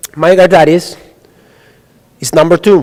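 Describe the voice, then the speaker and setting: A man with an Italian accent speaks in a fairly high pitch. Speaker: radiologist. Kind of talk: lecture.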